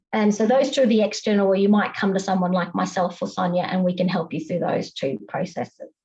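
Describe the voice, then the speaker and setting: With an Australian accent, a woman speaks very fast with hardly any pauses, in a dark, mellow tone with vocal fry and ordinary pitch variation. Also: medium pitch for a woman. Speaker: compliance consultant. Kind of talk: panel presentation.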